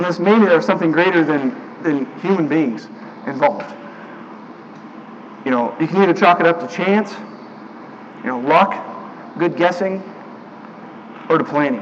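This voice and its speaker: Against noticeable background noise, a man with a high pitch talks at a moderate pace, leaving long, frequent pauses. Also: lively intonation. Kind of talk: sermon delivered to a congregation. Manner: casual, conversational, with filler words.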